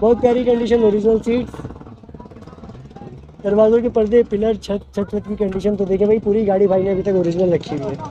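At a fairly quick pace, a man with a high voice and a dark, mellow tone keeps his intonation fairly even.

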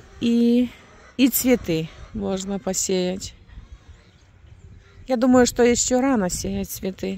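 In a dark, mellow tone, a woman speaks at a very slow pace, and the sound is dry with no echo. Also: ordinary pitch variation. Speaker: rural homestead vlogger. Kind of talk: casual vlog chat. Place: open country. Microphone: phone near.

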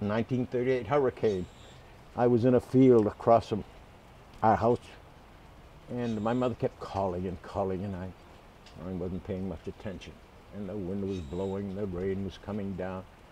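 With an American accent and a dark, mellow tone, a man talks at a fairly low pitch with ordinary pitch variation, big swings in loudness and long, frequent pauses, the sound dry with no echo over light background noise. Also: moderate pace. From Boston area. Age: 80s+. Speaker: man remembering his parents. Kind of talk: interview answer. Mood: warm, reminiscing. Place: garden.

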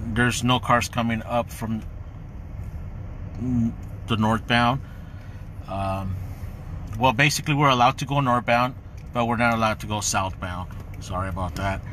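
Over light background noise, a man talks at a moderate pace with ordinary pitch variation. The sound is dry with no echo, and he leaves long, frequent pauses. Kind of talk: casual vlog chat. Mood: worried, unsettled. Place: car. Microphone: phone near.

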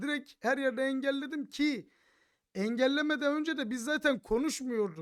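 This man speaks at an extremely high pitch with an animated tone, ordinary pitch variation, and a moderate pace. The recording is very clean, with a silent background. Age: 30s. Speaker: gaming streamer. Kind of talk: commentary video rant. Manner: laughing often.

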